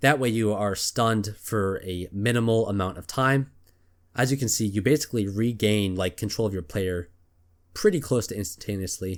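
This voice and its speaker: In a very clean recording with a silent background, a man with an unremarkable speaking voice and fairly low pitch speaks at a moderate pace with ordinary pitch variation. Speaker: gaming video creator. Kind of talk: gameplay commentary. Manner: casual, filler-heavy.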